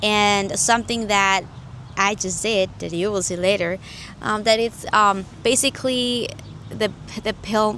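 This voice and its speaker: Her intonation is fairly even. The woman talks at a fairly slow pace. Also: medium pitch for a woman. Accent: Spanish. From Mexico (Jalisco family). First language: Spanish. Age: 20s. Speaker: YouTuber sharing faith testimony. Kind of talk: testimony. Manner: halting, with fillers and self-corrections.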